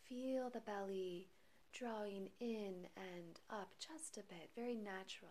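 At a very slow pace, a woman speaks in a soothing, calm tone with medium pitch and ordinary pitch variation. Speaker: meditation guide. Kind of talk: guided meditation. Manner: slow, soothing, calm and gentle; measured, hushed, with long pauses between phrases.

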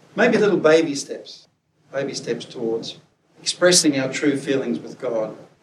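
A man's fairly high voice with audible room echo. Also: lively intonation, moderate pace, big swings in loudness. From Scotland. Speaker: preacher and academic. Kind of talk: sermon.

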